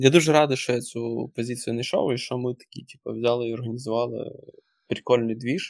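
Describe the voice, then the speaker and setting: The speech moves at a fairly quick pace with fairly even intonation. Its loudness swings widely. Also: man, medium pitch for a man. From western Ukraine. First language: Russian (speaking Ukrainian). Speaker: senior product manager and course instructor. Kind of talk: casual interview chat. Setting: remote podcast recording.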